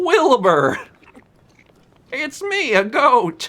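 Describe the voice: A man puts on a character voice at an extremely high pitch for a man.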